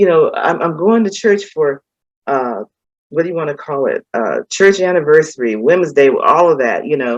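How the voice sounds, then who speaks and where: A woman's normal speaking voice, fairly low in pitch, with lively intonation. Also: moderate pace. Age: 60s. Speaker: former pastor's wife, retiree. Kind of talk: interview, personal testimony. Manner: casual, conversational with many fillers.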